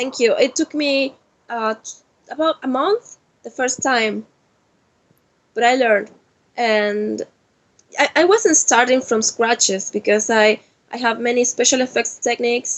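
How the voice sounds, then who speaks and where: With a Spanish accent, a woman speaks at a fairly slow pace and a high pitch, with ordinary pitch variation and long, frequent pauses. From Argentina. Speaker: cosplayer. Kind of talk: interview. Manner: halting.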